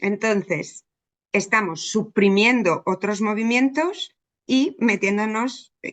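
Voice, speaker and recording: A woman's fairly high voice, with ordinary pitch variation, unfolds at a very slow pace. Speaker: psychologist. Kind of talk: interview.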